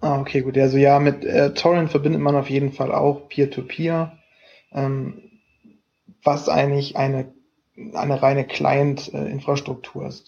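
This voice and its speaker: A man's fairly high voice, fairly slow and fairly even in intonation, with long, frequent pauses. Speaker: student podcast co-host. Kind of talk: casual chat. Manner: hesitant, many fillers. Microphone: laptop mic.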